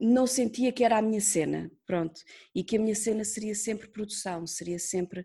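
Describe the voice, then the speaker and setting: The woman's voice is somewhat breathy with a dark, mellow tone and ordinary pitch variation. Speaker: radio producer. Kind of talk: interview. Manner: talkative.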